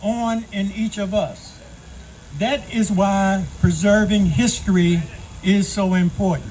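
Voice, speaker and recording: A man with an American accent, very slow pace and ordinary pitch variation. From US South. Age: 70s. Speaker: community speaker, Air Force veteran. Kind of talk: public speech. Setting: outdoors event with audience. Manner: formal.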